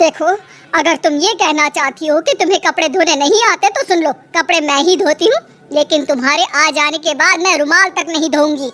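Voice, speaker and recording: In a cartoonish character voice pitched extremely high, a woman speaks at a moderate pace with ordinary pitch variation and very even loudness, the sound dry and close with no echo and faint music in the background. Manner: sharp, bossy.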